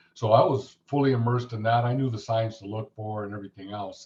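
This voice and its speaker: Speaking at a very fast pace, a man with an American accent sounds somewhat breathy, with monotone, flat intonation. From Los Angeles, US West Coast. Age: 60s. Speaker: Marine veteran and retired firefighter. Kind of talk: interview testimony.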